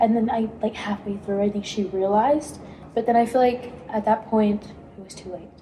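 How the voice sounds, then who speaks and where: A woman speaks at a moderate pace with a fairly high pitch and fairly even intonation. Her loudness swings a lot over noticeable background noise. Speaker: college theater student, podcast co-host. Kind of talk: casual chat.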